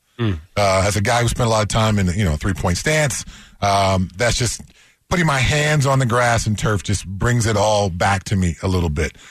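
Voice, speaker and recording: Somewhat breathy and at a fairly low pitch, a man speaks at a moderate pace with lively intonation and very even loudness. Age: 50s. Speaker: sports radio co-host, former NFL player. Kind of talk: casual sports talk chat.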